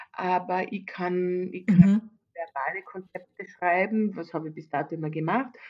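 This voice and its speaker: At medium pitch and a moderate pace, a woman speaks with ordinary pitch variation and big swings in loudness. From Austria, Carinthia. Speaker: event manager. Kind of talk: interview. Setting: video call. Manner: halting.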